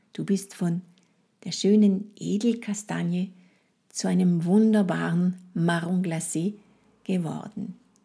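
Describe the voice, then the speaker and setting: A woman's medium-pitched, somewhat breathy voice with a dark, mellow tone, fairly even intonation, a very slow pace and long, frequent pauses. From France. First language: French (speaking German). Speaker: French language trainer, podcast host. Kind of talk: guided fantasy journey; educational monologue podcast. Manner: halting with fillers.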